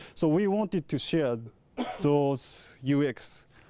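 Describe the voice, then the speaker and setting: The recording is very clean against a silent background. A man talks in a dark, mellow tone, his pitch varying in an ordinary way. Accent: Japanese. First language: Japanese. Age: 30s. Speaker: camera engineer. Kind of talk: product presentation. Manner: halting.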